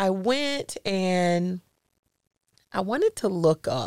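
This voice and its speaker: Here a woman speaks at medium pitch. Her intonation is lively. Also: dry, close sound with no echo. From US South, Jacksonville, Florida. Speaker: podcast host and life coach. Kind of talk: casual interview chat.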